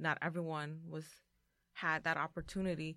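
Over a very clean, silent background, a woman speaks in a flat monotone at a very deep, low pitch and a fairly slow pace. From Mexican-American, US. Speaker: parent organizer. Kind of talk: roundtable discussion.

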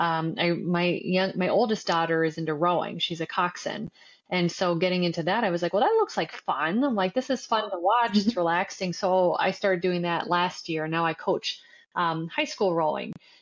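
Talking at a moderate pace with an Ontario accent, a woman keeps very even loudness and ordinary pitch variation. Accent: Canadian English (Ontario). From Canada, Windsor, Ontario. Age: 40s. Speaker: marketing agency founder, former college athlete. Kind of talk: interview.

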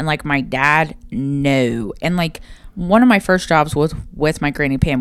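In an Appalachian accent, the speaker talks with lively intonation. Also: woman. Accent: Appalachian Ohio. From southern Ohio, Portsmouth. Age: 30s. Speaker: podcast co-host. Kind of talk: casual chat.

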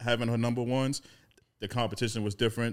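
The speaker is a man. His recording is very clean and the background is silent. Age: 30s. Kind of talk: casual chat.

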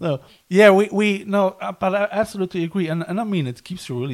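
A man with a German accent, at a moderate pace, with ordinary pitch variation. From Germany, Cologne. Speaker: podcast host, visual artist. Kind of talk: casual interview. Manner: halting, many repetitions.

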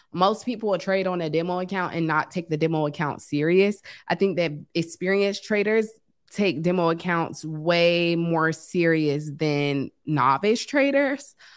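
A woman with an American accent and a plain, everyday voice speaks at a moderate pace in a fairly low pitch with ordinary pitch variation. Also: very clean recording, silent background. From US East Coast (Washington DC). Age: 30s. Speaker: forex trader. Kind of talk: casual chat.

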